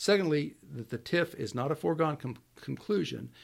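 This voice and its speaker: A man with an American accent has an ordinary speaking voice, lively intonation and a fairly quick pace. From US Pacific Northwest. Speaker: city manager. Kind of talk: interview.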